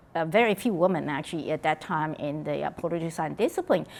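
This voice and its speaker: A woman with a Taiwanese accent speaks at a very fast pace. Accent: Taiwanese Mandarin-accented English. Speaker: political science professor. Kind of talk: oral history interview. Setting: conference venue. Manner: halting.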